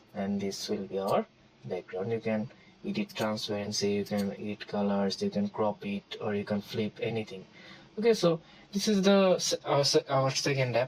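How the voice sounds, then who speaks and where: A man's medium-pitched voice at a moderate pace, full of very wide pitch swings. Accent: non-native. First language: not English. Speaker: tutorial creator. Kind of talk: tutorial. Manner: halting, many fillers.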